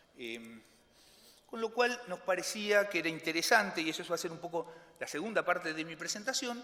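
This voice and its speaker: Over noticeable background noise, a man talks with a high pitch and lively intonation. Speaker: economist. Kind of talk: conference presentation. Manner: fast; halting, many fillers and repetitions.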